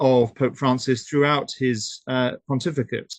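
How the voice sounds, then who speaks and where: A man with a British accent speaks at a very slow pace, with a dry, close sound with no echo and a quiet background. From United Kingdom. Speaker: human rights activist. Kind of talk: webinar talk. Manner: hesitant, many fillers.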